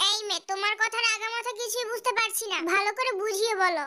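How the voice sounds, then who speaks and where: A woman in a put-on character voice, extremely high in pitch, with fairly even intonation. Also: moderate pace. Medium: fan dub. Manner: gruff, impatient.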